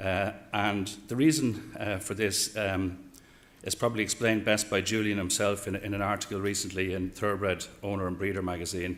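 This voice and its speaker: Fairly quick and fairly even in intonation, the speech carries an Irish accent. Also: man, fairly low pitch for a man. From Ireland. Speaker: horse racing executive. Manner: hesitant, many fillers.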